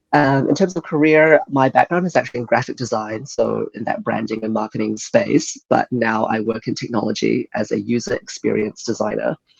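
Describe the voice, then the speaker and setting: Speaking fairly quickly with hardly any pauses, a man with a New Zealand accent is heard in a dry, close sound with no echo. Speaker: user experience designer. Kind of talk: interview. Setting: podcast.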